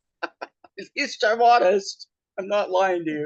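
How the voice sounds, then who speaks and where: In a dry, close sound with no echo, a man speaks with lively intonation in a Pacific Northwest accent. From US Pacific Northwest, western Washington. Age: 60s. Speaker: podcast host, drag performer. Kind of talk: casual personal storytelling.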